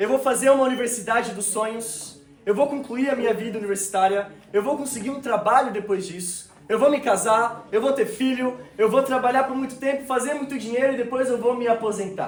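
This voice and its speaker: Amid noticeable background noise and audible room echo, a man with a São Paulo accent talks at a fairly quick pace in an extremely high pitch, with fairly even intonation. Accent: Brazilian Portuguese (São Paulo). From Brazil, São Paulo. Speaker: preacher. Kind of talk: sermon. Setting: church service with congregation.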